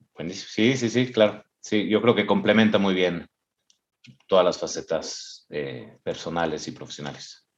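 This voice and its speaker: Vocal fry, lively intonation and a fairly slow pace. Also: man. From Mexico. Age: 40s. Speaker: entrepreneur, finance company CEO. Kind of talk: interview conversation. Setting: video call. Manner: halting, with frequent repetitions.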